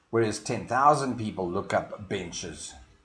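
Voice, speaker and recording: A man with a South African accent speaks with lively intonation in a somewhat breathy voice. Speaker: marketing consultant. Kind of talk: promotional explainer video. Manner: hesitant, frequent fillers.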